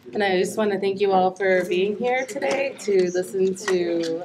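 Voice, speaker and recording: A woman talks in a Canadian accent at a fairly slow pace. Noticeable background noise runs under her voice. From southwestern Ontario, Canada (First Nation reserve). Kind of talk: panel talk. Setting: panel at a public forum with audience. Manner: halting, many fillers.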